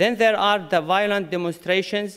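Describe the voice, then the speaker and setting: A man speaks with a non-native accent. His pitch variation is ordinary. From Syria. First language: Arabic. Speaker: conference speaker, community leader. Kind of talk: conference speech. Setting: conference with audience. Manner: halting.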